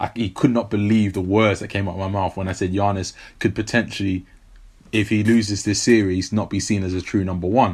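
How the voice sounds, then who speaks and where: A man with a London accent at a fairly quick pace, in a very clean recording with a silent background. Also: fairly low pitch for a man. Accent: British, London. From South London, England. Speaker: sports podcast co-host. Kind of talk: casual chat. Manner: animated.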